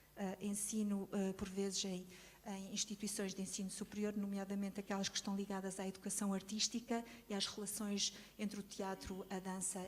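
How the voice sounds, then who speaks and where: A woman's somewhat breathy, medium-pitched voice at a moderate pace, monotone and flat in intonation. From Portugal, Lisbon. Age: 60s. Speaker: choreographer and teacher. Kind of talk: testimony. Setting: conference with audience. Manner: hesitant, many fillers.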